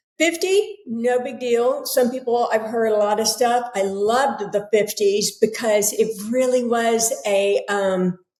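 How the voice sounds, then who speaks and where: In a General American accent, a woman talks at a fairly slow pace with hardly any pauses, her pitch fairly high with ordinary variation, in a normal speaking voice. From United States. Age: 60s. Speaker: author and yoga teacher. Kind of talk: casual interview conversation.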